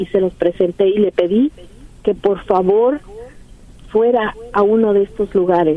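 Over noticeable background noise, a woman at medium pitch talks at a fairly slow pace with ordinary pitch variation. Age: 60s. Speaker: caller, worried mother. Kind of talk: phone-in call to advice radio show.

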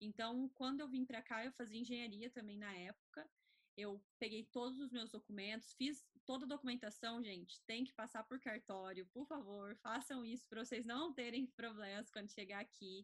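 This woman has an unremarkable speaking voice with a fairly high pitch. She talks at a moderate pace with fairly even intonation and hardly any pauses. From Brazil. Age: 20s. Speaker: student and traveler. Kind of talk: casual chat.

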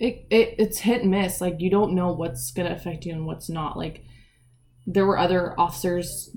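A woman speaks with an American accent at a moderate pace. Her fairly low voice has vocal fry. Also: ordinary pitch variation. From Eastern Washington, US. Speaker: police officer. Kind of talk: casual interview.

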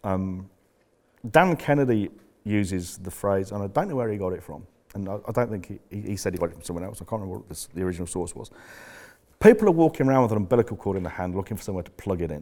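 Speaking at a very fast pace in a fairly low pitch, a man's dark, mellow voice shows big swings in loudness and ordinary pitch variation on a very clean recording with a silent background. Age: 50s. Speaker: business coach. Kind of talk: live seminar talk. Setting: stage with audience. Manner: halting.

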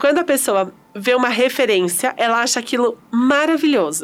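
Her pitch high, a woman speaks at a moderate pace with lively intonation and an animated tone. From Espírito Santo, Brazil. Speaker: podcast host. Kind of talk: casual interview chat. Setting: studio with cameras. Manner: animated, laughing often.

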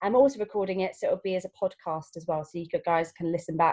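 A woman talks very fast in a fairly low, somewhat breathy voice with a dark, mellow tone and ordinary pitch variation. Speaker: class host asking questions. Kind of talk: interview, casual chat.

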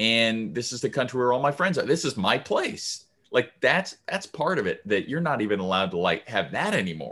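A man's medium-pitched voice in an American accent, bright and sharp with vocal fry, hardly any pauses, very clean recording and silent background. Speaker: podcast co-host. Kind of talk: casual chat.

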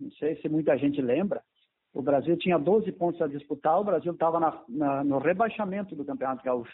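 This is a normal speaking voice from a man with a fairly high pitch. He keeps a moderate pace and ordinary pitch variation. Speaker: former footballer and coach. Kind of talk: interview.

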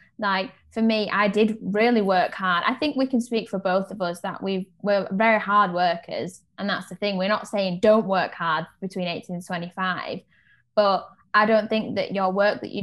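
Talking at a moderate pace, a woman with a British accent keeps her intonation fairly even. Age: 20s. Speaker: podcast co-host. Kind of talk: casual chat.

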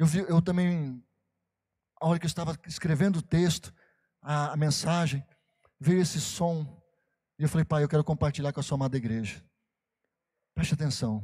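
A man with a fairly high pitch and a dark, mellow tone speaks at a moderate pace with ordinary pitch variation and long, frequent pauses, on a very clean recording with a silent background. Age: 40s. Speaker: pastor. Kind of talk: sermon. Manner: animated.

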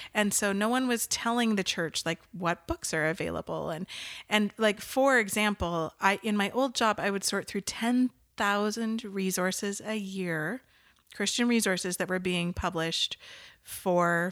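Recorded very cleanly against a silent background with a dry, close sound and no echo, a woman speaks fairly slowly in an ordinary speaking voice with a Canadian accent, medium pitch and ordinary pitch variation. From Western Canada (Nanaimo, Vancouver Island). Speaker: marketing agency owner. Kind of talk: interview conversation.

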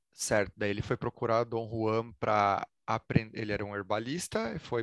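This man talks at a moderate pace with a Brazilian accent. His pitch is medium, and the background is quiet. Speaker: spirituality podcast host. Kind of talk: interview conversation.

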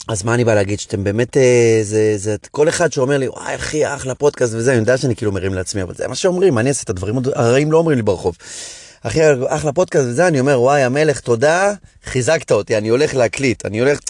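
Speaking at a very fast pace, a man with a medium-pitched voice sounds animated, his intonation lively. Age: 40s. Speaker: comedian. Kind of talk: casual chat.

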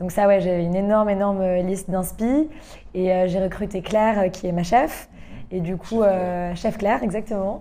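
Her voice has a dark, mellow tone, as this woman talks at a medium pitch and a moderate pace. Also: ordinary pitch variation. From England and Canada. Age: 20s. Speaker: restaurant owner. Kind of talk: interview. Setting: at her restaurant.

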